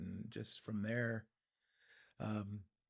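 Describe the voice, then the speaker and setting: A man speaks with a fairly low pitch and fairly even intonation. It is a normal speaking voice. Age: 60s. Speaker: sculptor. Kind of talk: interview.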